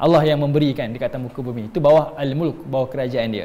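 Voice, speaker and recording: Here a man speaks at a moderate pace. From Malaysia. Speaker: Islamic religious teacher; religious teacher. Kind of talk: religious lecture. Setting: online class streamed on Facebook. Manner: conversational with frequent fillers. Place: empty room.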